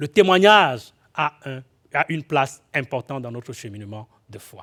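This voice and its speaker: The voice has a bright, sharp tone and lively intonation, moving at a moderate pace with big swings in loudness in a dry, close sound with no echo. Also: man, medium pitch for a man. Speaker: guest preacher. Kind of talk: sermon. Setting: church. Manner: halting, repeats words with fillers.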